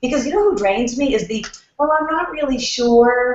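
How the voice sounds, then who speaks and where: A woman with a New York accent talks fairly quickly in a high pitch. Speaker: networking expert. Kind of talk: casual chat. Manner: fast.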